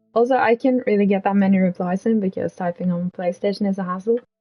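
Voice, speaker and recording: Her voice is somewhat breathy, with ordinary pitch variation. This woman speaks with a non-native accent. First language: not English. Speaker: streamer. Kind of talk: casual storytelling stream. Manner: quiet, soft-spoken; hesitant, filler-heavy.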